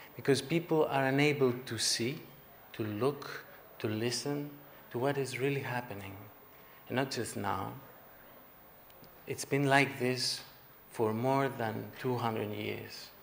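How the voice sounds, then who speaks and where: A man speaks with a Greek accent at a fairly slow pace, leaving long, frequent pauses. His pitch is medium, his intonation fairly even, and there is audible room echo. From Greece. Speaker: artist giving keynote speech. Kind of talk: conference speech. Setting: conference hall with audience.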